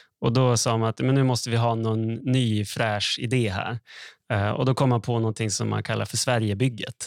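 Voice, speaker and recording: A plain, everyday voice from a man, medium in pitch with fairly even intonation, at a moderate pace, dry and close with no echo, on a very clean recording with a silent background. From northern Sweden, Skellefteå. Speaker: economist podcast co-host. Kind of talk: casual explanatory chat.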